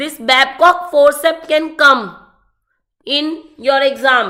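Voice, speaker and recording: Very slowly, a woman with a high pitch projects a raised voice in a bright, sharp tone, keeping her intonation fairly even. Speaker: medical exam tutor. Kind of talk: online lecture.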